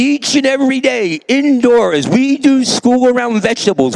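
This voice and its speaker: A man speaks at an extremely high pitch with an animated tone and lively intonation at a moderate pace. The sound is dry and close with no echo, with noticeable background noise. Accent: New York. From US Northeast, New York (South Bronx). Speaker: teacher. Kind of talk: keynote talk. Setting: stage with audience.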